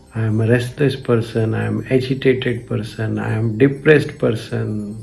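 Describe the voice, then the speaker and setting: Music plays in the background as a man speaks at a moderate pace. His medium-pitched voice keeps fairly even intonation. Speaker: spiritual teacher. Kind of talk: spiritual commentary talk.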